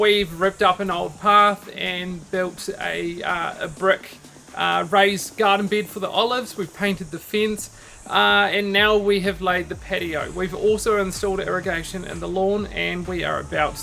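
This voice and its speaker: Someone with a New Zealand accent talks at a fairly slow pace over noticeable background noise. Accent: New Zealand (Kiwi). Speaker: DIY home improvement vlogger. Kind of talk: casual walkthrough vlog. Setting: outdoors in backyard. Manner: casual, with many fillers.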